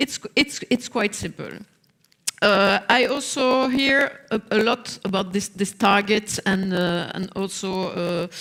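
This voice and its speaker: A woman with a non-native accent talks at a very slow pace. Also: medium pitch for a woman, ordinary pitch variation. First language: not English. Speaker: social partner representative. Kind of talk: panel discussion. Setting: stage with audience. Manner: halting, many fillers.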